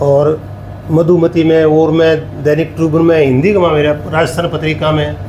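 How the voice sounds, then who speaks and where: A man's fairly high voice, monotone and flat, at very even loudness, with audible room echo and noticeable background noise. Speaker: writer. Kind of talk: interview.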